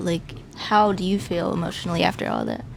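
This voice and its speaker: Noticeable background noise behind a woman's medium-pitched voice, with ordinary pitch variation and a moderate pace. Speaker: interview host. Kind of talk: casual interview questions.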